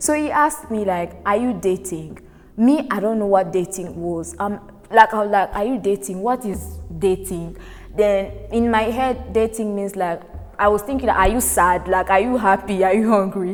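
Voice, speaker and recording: The speaker moves at a moderate pace with ordinary pitch variation while music sounds in the background. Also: woman, medium pitch for a woman. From Congo. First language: French. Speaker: guest storyteller. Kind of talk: personal anecdote.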